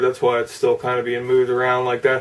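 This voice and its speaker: Man's voice in monotone, flat intonation amid noticeable background noise. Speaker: model car hobbyist YouTuber. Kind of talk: casual video update and tutorial. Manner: halting, many fillers.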